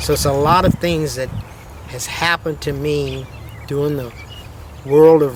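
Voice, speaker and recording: A man talks at a moderate pace in a fairly high voice with ordinary pitch variation. Noticeable background noise runs underneath. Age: 70s. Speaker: rodeo cowboy and producer. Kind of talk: documentary interview.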